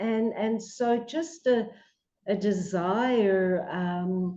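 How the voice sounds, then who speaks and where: A woman speaks with a dark, mellow tone, a medium pitch and fairly even intonation. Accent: Australian. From Australia, Melbourne. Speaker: psychologist. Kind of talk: radio interview.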